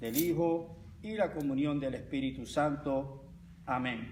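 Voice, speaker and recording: A man speaks in a fairly high pitch. His pace is very slow. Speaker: pastor. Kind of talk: sermon.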